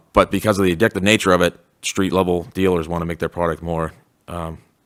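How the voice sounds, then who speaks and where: Very deep and low, a man's voice moves at a fairly quick pace with monotone, flat intonation. The recording is very clean and silent behind him, with a dry, close sound and no echo. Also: long, frequent pauses. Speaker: school resource officer. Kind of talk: panel presentation. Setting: school hall with audience. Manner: fast.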